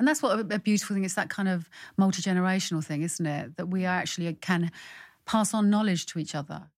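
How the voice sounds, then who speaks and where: At a very fast pace, a woman with a London accent and medium pitch speaks with ordinary pitch variation on a very clean recording with a silent background. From London, Irish parents. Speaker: playwright. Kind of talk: casual interview.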